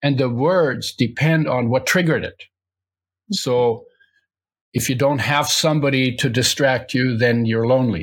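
A somewhat breathy man with long, frequent pauses. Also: medium pitch for a man, ordinary pitch variation, moderate pace. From Poland/Germany. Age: 80s+. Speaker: health author and entrepreneur. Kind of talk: interview.

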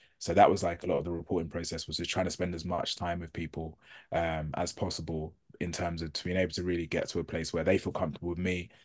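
Against a quiet background, a man with a British accent talks very fast in a very deep, low voice with monotone, flat intonation. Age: 30s. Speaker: journalist and author. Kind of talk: interview conversation.

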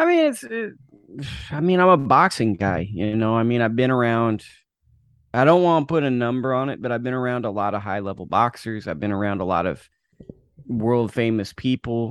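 A man with a plain, everyday voice, medium pitch and fairly quick pace, over a quiet background. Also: lively intonation. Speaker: boxing author. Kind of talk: casual interview. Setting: video call.

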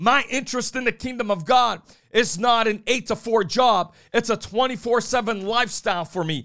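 A man speaks in a raised, projected voice at an extremely high pitch, with a bright, sharp tone. His pace is moderate with ordinary pitch variation, on a very clean recording with a silent background. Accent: American. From New Bedford, Massachusetts. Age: 40s. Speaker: preacher. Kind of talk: sermon.

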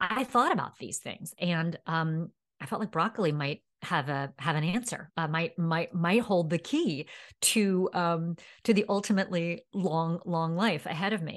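Speaking with an American accent, a woman uses an ordinary speaking voice at a fairly low pitch with ordinary pitch variation. Her pace is fairly slow, and the background is quiet. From New York City. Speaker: dietitian focused on sustainability. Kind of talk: interview conversation.

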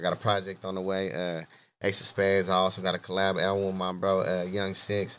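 Recorded very cleanly with a silent background, a man speaks at a very deep, low pitch in a monotone, flat delivery. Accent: American. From Stockton, California. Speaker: rapper. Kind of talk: casual chat.

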